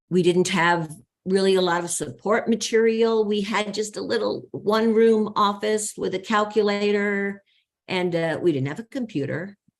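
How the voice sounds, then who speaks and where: A woman has a plain, everyday voice at medium pitch. She keeps a moderate pace with ordinary pitch variation. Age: 60s. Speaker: company co-founder. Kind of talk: interview.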